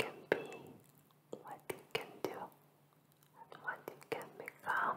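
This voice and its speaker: The pace is very slow. Everything is whispered. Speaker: ASMR creator. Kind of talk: ASMR positive affirmations. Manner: soft, slow, relaxing. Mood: soothing, warm. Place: home room. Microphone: studio mic.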